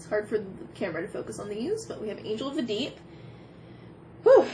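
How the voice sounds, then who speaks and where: Noticeable noise sits behind the recording. A woman speaks at a fairly high pitch. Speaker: tarot reader. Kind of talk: pick-a-card tarot reading. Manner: animated.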